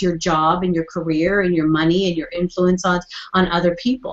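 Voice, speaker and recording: Here a woman speaks at a fairly quick pace. Her pitch sits in the medium range. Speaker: therapist and coach. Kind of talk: interview conversation. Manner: fast; animated.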